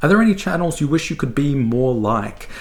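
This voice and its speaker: In an Australian accent, the speaker's pitch swings very widely, with audible room echo. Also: man. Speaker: book reviewer. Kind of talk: casual monologue. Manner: hesitant, many fillers.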